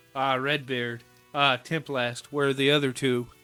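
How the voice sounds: A put-on character voice delivers lines at a moderate pace in a monotone, flat intonation, with faint music in the background. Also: man, medium pitch for a man.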